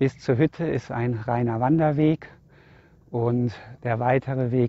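A man speaks at a very slow pace in a dark, mellow tone. The sound is dry, with no echo. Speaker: hiking vlogger. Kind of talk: casual vlog chat. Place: open country. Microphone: phone near.

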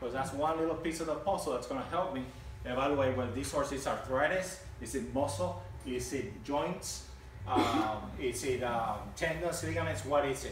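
Amid light background noise and audible room echo, a man speaks at a fairly quick pace with lively intonation. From Puerto Rico. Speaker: equine veterinarian. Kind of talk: educational talk to live audience. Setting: outdoors. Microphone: camera far.

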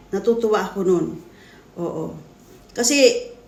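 With audible room echo, a woman speaks at a very slow pace using ordinary pitch variation. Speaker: vlogger. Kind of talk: reaction video commentary. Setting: talking to camera at home. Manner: halting.

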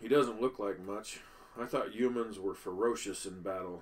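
In a put-on character voice, a man speaks with a rumbling quality. His pitch is fairly low and his pace moderate. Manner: grumbling, disdainful.

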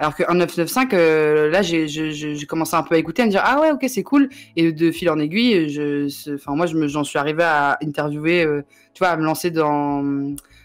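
Music plays behind a woman whose very deep, low voice keeps ordinary pitch variation and very even loudness. She speaks at a fairly slow pace. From Paris region, Yvelines. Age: 20s. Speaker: journalist and web creator. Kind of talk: casual chat. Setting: livestream.

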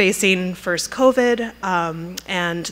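Here a woman speaks. Her intonation stays fairly even. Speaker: museum curator introducing a lecture. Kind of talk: introductory speech. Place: hall. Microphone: podium.

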